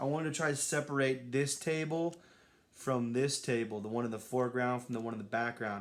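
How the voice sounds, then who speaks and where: With ordinary pitch variation, a man talks in an unremarkable speaking voice. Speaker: artist livestreaming while making a collage. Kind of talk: casual livestream chat while working. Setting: Instagram live stream. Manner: relaxed, conversational.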